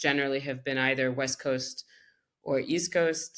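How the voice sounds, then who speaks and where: A woman speaks in a French accent with a very deep, low pitch. Her intonation is monotone and flat, at a moderate pace. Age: 30s. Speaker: creative director. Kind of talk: interview conversation.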